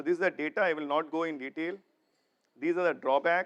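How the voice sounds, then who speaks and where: With a high pitch and ordinary pitch variation, a man talks at a very fast pace, the sound dry and close with no echo. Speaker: corporate executive, keynote speaker. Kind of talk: conference keynote.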